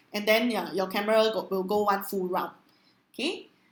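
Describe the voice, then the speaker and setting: Here is a woman with a Singaporean accent. Her pitch sits fairly high. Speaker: online trainer. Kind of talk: webinar training with live Q&A. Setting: live online webinar. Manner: loud.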